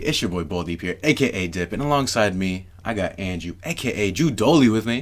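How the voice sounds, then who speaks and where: Lively intonation marks this man's fairly low voice, spoken with a New York accent. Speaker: podcast co-host. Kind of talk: casual chat.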